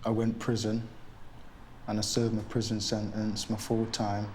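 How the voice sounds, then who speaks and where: In audible room echo, a man speaks in a fairly low voice. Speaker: deportee. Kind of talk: documentary interview.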